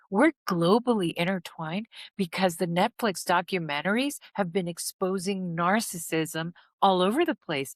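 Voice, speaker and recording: At a moderate pace, a woman with a non-native accent speaks at a medium pitch in a very clean recording with a silent background. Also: dry, close sound with no echo. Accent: non-American accent, speaker notes it herself. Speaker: healing and trauma recovery content creator. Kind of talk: motivational talk to viewers.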